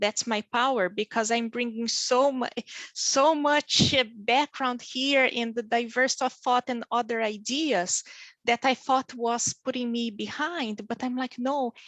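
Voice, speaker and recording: Over a quiet background, a woman with a Brazilian accent speaks at a fairly slow pace in a high pitch, her intonation fairly even and the sound dry and close with no echo. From southern Brazil, small town. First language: Portuguese. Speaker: physician working in pharma. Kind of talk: panel interview.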